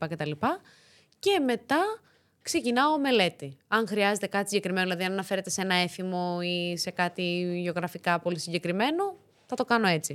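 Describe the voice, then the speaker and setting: A woman at a moderate pace and medium pitch, a plain, everyday voice with ordinary pitch variation, on a very clean recording with a silent background. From Greece, Thessaloniki. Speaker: actress and latin dancer. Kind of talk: casual interview chat.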